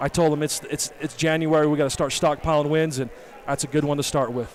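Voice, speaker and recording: The voice runs at a very fast pace with monotone, flat intonation. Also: man, fairly high pitch for a man. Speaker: high school basketball coach. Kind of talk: post-game interview. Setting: hot echoing high school gym. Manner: loud.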